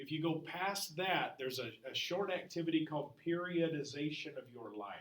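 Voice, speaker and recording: Loud and high-pitched, a man speaks with audible room echo around his voice. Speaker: history teacher. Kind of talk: classroom lecture. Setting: classroom.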